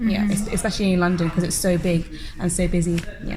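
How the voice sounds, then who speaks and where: Noticeable background noise surrounds a woman's voice. She speaks at fairly low pitch in a monotone, flat intonation. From London, England. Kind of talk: interview answer.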